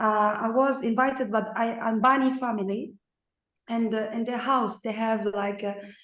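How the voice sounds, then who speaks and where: A woman talks at a fairly slow pace with fairly even intonation. Audible room echo surrounds her voice. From Morocco. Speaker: painter and dance researcher. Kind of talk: online seminar audience comment. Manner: halting.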